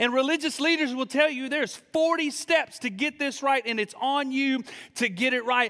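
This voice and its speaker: Over a quiet background, a man uses a raised, projected voice with an extremely high pitch and a bright, sharp tone. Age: 30s. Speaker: student pastor. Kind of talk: sermon. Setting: church service with live audience. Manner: animated. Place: church. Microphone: handheld.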